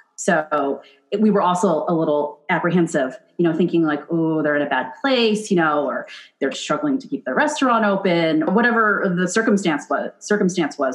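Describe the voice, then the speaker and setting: The woman's pitch sits fairly low and her intonation is lively. She talks at a fairly quick pace. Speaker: chef and podcast host. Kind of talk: casual chat. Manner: fast; animated.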